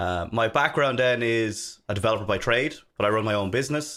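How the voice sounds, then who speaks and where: Recorded very cleanly over a silent background, a man with an Irish accent speaks at a moderate pace with medium pitch and ordinary pitch variation. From Ireland, Dublin. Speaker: software developer and consultant. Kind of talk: casual interview chat.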